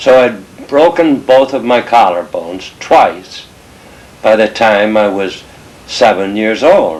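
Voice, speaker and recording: A man at a very slow pace, medium pitch, lively intonation, with noticeable background noise. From England (Liverpool) until age eight, then emigrated. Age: 70s. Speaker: family elder telling family history. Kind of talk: oral history storytelling. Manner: slow, halting with self-corrections.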